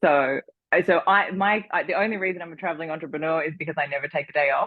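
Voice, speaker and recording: A woman speaks in an Australian accent. Her pitch is very deep and low. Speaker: entrepreneur and designer. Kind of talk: interview conversation. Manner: rising question-like inflection.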